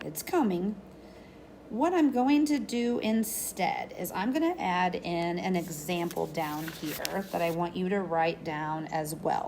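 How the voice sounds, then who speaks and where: A woman speaks at a very slow pace with lively intonation, and audible room echo surrounds her voice. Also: medium pitch for a woman. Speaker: math teacher. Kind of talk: lecture. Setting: recorded video lesson. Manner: animated.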